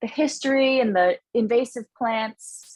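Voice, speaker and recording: A woman with a Canadian accent speaks at a moderate pace and a fairly high pitch, in an unremarkable speaking voice. The sound is dry and close, with no echo. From Canada, Toronto (Scarborough). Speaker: comedian and management consultant. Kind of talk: interview.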